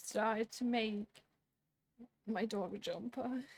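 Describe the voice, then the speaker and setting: A woman's normal speaking voice at a fairly slow pace, with fairly even intonation and a dry, close sound with no echo. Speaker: knitting podcaster. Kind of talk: casual talk to camera. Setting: home room with fan noise.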